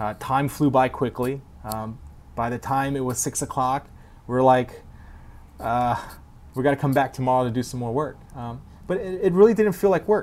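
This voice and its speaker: At a moderate pace and medium pitch, a man talks with ordinary pitch variation and long, frequent pauses. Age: 30s. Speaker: wheel company president. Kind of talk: interview. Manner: halting.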